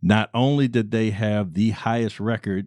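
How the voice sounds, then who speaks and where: Fairly low in pitch and dark, mellow in tone, a man speaks at a moderate pace. The sound is dry and close with no echo, over a quiet background. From Baltimore, Maryland, US. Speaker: Air Force veteran and business owner. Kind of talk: interview conversation.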